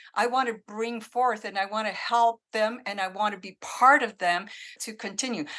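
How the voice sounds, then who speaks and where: A woman with a French Canadian accent speaks at a moderate pace in a fairly high, bright, sharp voice, her intonation fairly even but her loudness swinging widely against a quiet background. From Northern Ontario, francophone village. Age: 60s. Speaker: menopause coach. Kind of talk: interview conversation.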